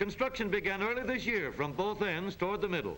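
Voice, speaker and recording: Raised and projected, a man's voice sits at a high pitch. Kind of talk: newsreel narration.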